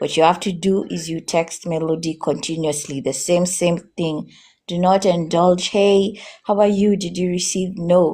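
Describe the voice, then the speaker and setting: A woman with a Kenyan accent, her voice fairly low-pitched with a dark, mellow tone, talks at a fairly slow pace with fairly even intonation. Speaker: customer service agent. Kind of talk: advice in a live stream interview. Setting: live stream.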